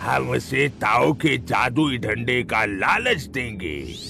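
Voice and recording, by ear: Over clear background noise, a man does a cartoonish character voice at a fairly low pitch and a very slow pace.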